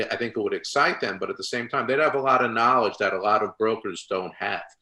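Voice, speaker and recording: A man speaks at a medium pitch in a bright, sharp tone. His intonation stays fairly even. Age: 60s. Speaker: podcast host. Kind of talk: casual interview.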